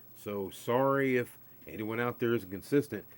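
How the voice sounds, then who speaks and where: Speaking at a moderate pace, a man uses ordinary pitch variation. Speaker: craps streamer. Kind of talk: live stream chat. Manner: casual, filler-heavy.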